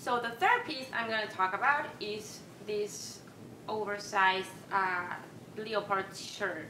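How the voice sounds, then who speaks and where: Speaking very slowly with a Peruvian accent, a woman shows ordinary pitch variation over noticeable background noise. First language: Spanish. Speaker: vintage fashion vlogger. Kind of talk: casual talk to camera. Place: home room.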